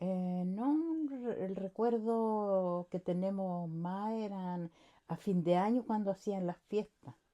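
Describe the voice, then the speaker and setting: Dark and mellow in tone, a woman speaks at medium pitch with ordinary pitch variation. Her pace is very slow. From Chile, Santiago. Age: 60s. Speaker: interviewee, worker's wife. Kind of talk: interview.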